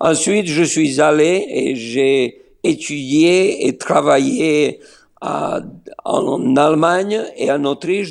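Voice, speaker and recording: A man with a Slovenian accent speaks at a fairly high pitch. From Serbia (Niš, former Yugoslavia). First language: Slovene (speaking French). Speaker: pastor. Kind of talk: interview. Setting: remote call from Israel. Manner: hesitant with many fillers.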